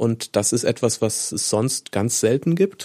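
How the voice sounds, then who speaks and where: In an ordinary speaking voice, a man talks at a fairly slow pace with medium pitch, recorded very cleanly against a silent background with a dry, close sound and no echo. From Rhineland-Palatinate, Koblenz area. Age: 40s. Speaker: local newspaper editor. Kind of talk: casual interview chat.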